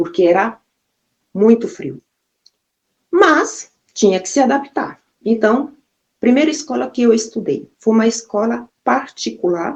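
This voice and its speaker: Speaking at a fairly slow pace, a woman with a fairly high pitch uses lively intonation and vocal fry, leaving long, frequent pauses. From Brazil, Maranhão (São Luís). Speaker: vlogger telling her life story. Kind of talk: personal testimony. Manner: casual, conversational.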